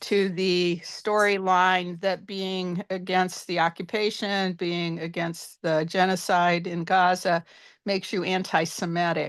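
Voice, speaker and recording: Over a quiet background, a woman speaks at a fairly slow pace with flat, monotone intonation. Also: medium pitch for a woman. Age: 70s. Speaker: audience member asking questions. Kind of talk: Q&A question on video call. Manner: halting.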